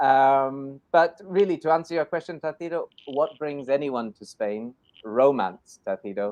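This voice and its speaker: Here a man with a Scottish accent talks at a fairly slow pace in a fairly high pitch, with lively intonation and big swings in loudness. The sound is dry and close, with no echo. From Scotland. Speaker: English teacher in Spain. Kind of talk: live online show chat. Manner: animated.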